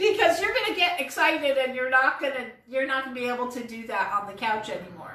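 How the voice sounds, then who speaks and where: With audible room echo and noticeable background noise, a woman talks in a high pitch with an animated tone and lively intonation. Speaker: vlogger reviewing an online business course. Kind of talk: casual monologue to camera. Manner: halting, many fillers.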